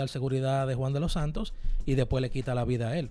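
Speaking very fast, a man with a fairly high pitch and a dark, mellow tone is heard on a very clean recording with a silent background. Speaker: radio host. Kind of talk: casual chat.

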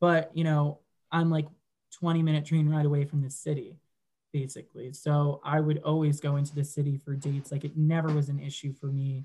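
The voice is somewhat breathy with a dark, mellow tone, moving at a fairly quick pace in monotone, flat intonation. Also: man, fairly high pitch for a man. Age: 20s. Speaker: digital marketer. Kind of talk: casual chat.

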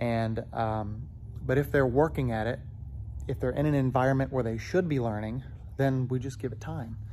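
Audible room echo surrounds a man speaking at a moderate pace. His pitch sits in the medium range, with ordinary variation. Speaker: gymnastics coach. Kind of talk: casual monologue. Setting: gym, walking around. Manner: rambling, filler-heavy.

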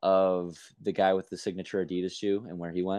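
Over a quiet background, a man with a fairly low pitch speaks at a fairly quick pace. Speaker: sports podcast host. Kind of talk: casual chat. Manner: animated.

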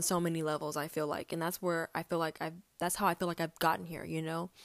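In an American accent, a woman speaks at a fairly low pitch. The sound is dry and close with no echo, on a very clean recording with a silent background. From Texas. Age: 20s. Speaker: podcast host. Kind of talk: personal monologue, faith reflection. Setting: recording at home.

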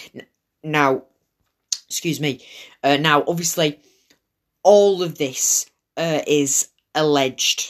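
The speech moves at a very slow pace with long, frequent pauses. It comes in a Lancashire accent. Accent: Wigan. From northern England (Manchester/Wigan). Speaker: podcast host. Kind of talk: casual solo monologue. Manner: hesitant, many fillers.

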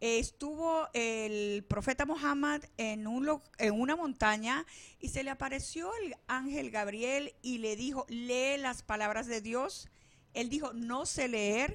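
The woman's voice is high in pitch with ordinary pitch variation. She speaks at a very slow pace. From Venezuela. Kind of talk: casual interview. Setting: studio.

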